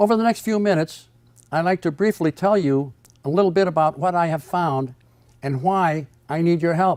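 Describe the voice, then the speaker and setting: On a very clean recording with a silent background and a dry, close sound with no echo, a man speaks at a high pitch and moderate pace with ordinary pitch variation. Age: 80s+. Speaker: inventor. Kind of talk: scripted narration. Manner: formal.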